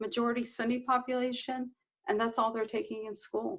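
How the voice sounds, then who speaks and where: A woman in a Southern US accent talks at a fairly high pitch and a fairly quick pace. Her intonation stays fairly even. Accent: Southern US twang. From US South. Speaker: Palestinian rights activist. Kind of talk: casual interview conversation.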